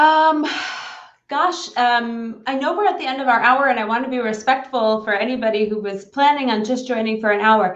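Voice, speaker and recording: A woman with an American accent talks at a moderate pace in a high pitch. Some room echo is audible. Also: ordinary pitch variation. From New York. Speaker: business consultant. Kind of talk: live stream conversation. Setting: live stream broadcast.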